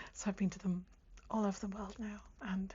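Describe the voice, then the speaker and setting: The tone is calm and relaxed. The speaker is soft-spoken. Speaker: ASMR creator. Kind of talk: ASMR chatty talk to camera. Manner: soft-spoken, calm, relaxed, chatty; whispered.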